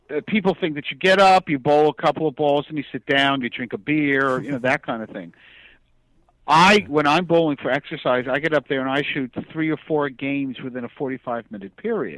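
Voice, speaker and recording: At a fairly quick pace, a man talks in an unremarkable speaking voice at a fairly high pitch with ordinary pitch variation, in a dry, close sound with no echo on a very clean recording with a silent background. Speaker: comic book writer and bowler. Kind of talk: interview answer.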